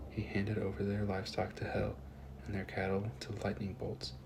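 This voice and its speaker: A soft-spoken man with a fairly low pitch talks at a moderate pace with lively intonation amid noticeable background noise. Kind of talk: soft-spoken scripture reading, ASMR. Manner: soft-spoken, relaxing.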